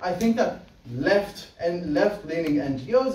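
A man is heard with audible room echo. Light background noise sits underneath. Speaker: competitive debater. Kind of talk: debate speech. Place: classroom. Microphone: camera far.

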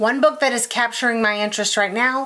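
With an American accent, a woman is speaking. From US South. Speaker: quilting YouTuber. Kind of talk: casual book review monologue. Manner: animated. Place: home room.

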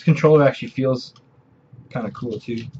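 A somewhat breathy man's voice comes through light background noise. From Canada. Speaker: video game collector and video creator. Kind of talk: casual show-and-tell haul video. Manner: hesitant, many filler sounds. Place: home room. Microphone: webcam.

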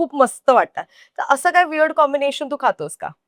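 The recording has a dry, close sound with no echo as a woman speaks at a high pitch. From Goa. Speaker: food show host. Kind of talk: casual chat. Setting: restaurant.

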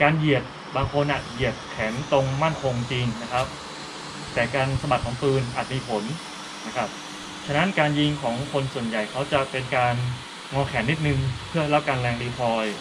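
With noticeable noise behind him, a man talks in a fairly even intonation. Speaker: shooting instructor. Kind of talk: tutorial. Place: open country.

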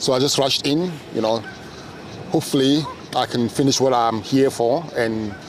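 Speaking at a moderate pace with long, frequent pauses, a man keeps a very even loudness, medium pitch and ordinary pitch variation over noticeable background noise. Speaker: interviewer. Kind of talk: casual interview talk.

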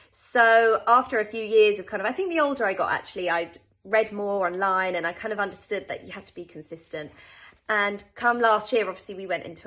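A woman speaks in a British accent at a fairly quick pace, with ordinary pitch variation. Her tone is bright and sharp against a quiet background. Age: 20s. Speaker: personal trainer. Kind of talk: testimony. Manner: casual, conversational. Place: home room. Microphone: phone near.

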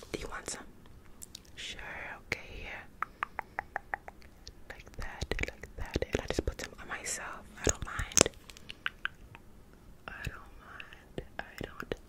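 Whispering and soft-spoken, a woman talks at a very slow pace with long, frequent pauses. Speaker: ASMR creator. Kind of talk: soft ASMR whisper talk. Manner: soft close-mic ASMR whisper. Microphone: studio mic.

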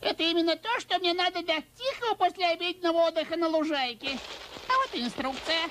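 In a cartoonish character voice, someone rattles along at a very fast pace with an extremely high pitch. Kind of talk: Russian cartoon dubbing. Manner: chatty, exasperated, comic.

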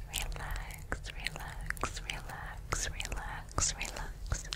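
A soft-spoken woman's whisper at a very slow pace. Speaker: ASMR creator. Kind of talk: soft ASMR whispering. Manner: soft close-mic whisper, repeated word. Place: home room. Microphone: studio mic.

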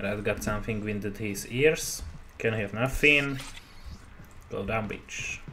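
A man with a Slovak accent talks at a very slow pace, leaving long, frequent pauses. His pitch varies in an ordinary way, with light background noise behind him. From Slovakia. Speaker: gamer YouTuber. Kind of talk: gameplay commentary. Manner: casual, profane, halting English. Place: home room.

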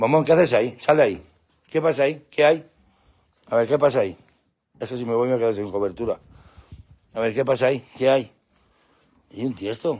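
A man speaks at a fairly quick pace in an animated tone, his pitch moving in an ordinary way. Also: quiet background. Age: 50s. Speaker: pet channel host. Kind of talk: live stream chat. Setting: at home with dogs at night. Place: garden. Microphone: phone near.

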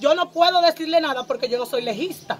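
A woman talks fast in a high voice, her pitch moving in an ordinary way.

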